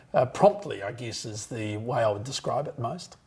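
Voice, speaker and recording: A man speaks in a somewhat breathy voice. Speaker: auctioneer. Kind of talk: interview answer.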